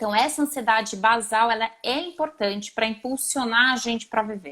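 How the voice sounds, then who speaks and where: A woman speaks with a São Paulo accent at a fairly high pitch. Her tone is bright and sharp, with ordinary pitch variation. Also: moderate pace. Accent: São Paulo accent, noticeable. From Brazil, São Paulo. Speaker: psychologist. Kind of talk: live stream interview. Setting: online live video.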